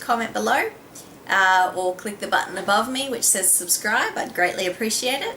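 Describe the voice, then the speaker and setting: Speaking at a fairly quick pace with an Australian accent, a woman uses a fairly high pitch and ordinary pitch variation over noticeable background noise. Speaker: beauty vlogger. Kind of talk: casual vlog talk.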